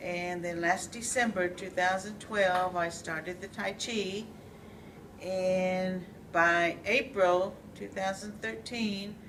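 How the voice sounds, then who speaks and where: At a very slow pace, a woman talks at medium pitch with fairly even intonation. Audible room echo and noticeable background noise surround her. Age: 60s. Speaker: tai chi student. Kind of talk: testimony.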